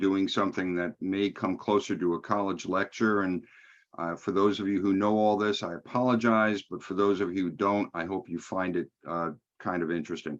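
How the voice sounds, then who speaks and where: Against a quiet background, a man with a New York accent speaks at a moderate pace, fairly low in pitch, with fairly even intonation. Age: old. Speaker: think tank president. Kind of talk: lecture.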